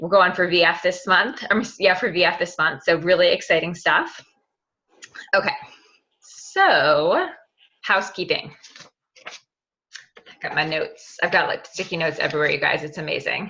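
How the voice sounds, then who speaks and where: Long, frequent pauses mark a woman's speech at a moderate pace. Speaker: team leader of sales reps. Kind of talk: team conference call. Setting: conference call at in-laws' house. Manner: soft-spoken; animated.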